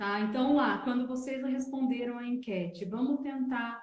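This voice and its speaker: A woman's high-pitched voice with a dark, mellow tone, fairly slow, with audible room echo. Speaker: wellness teacher. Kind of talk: online live talk. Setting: livestream.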